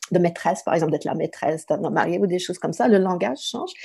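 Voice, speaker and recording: With an English accent, a woman speaks in a fairly low voice with a dark, mellow tone, in a very clean recording with a silent background. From southern Ontario, Canada. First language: English (speaking French). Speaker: writer and literature professor. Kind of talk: interview.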